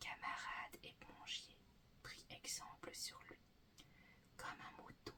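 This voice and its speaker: Whispering, a woman speaks at a very slow pace. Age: 20s. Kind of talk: poetry reading. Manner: whispered.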